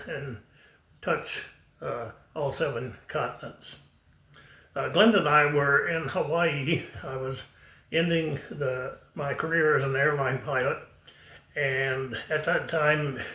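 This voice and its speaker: A fairly high male voice at a very slow pace, with long, frequent pauses, fairly even intonation and audible room echo. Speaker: retired airline pilot. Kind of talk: personal storytelling. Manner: halting, many fillers.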